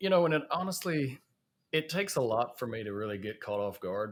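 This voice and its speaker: Speaking with a Southern US accent, a man uses a medium pitch and lively intonation. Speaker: safety podcast host. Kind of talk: casual podcast chat. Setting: in person at a conference in Chicago.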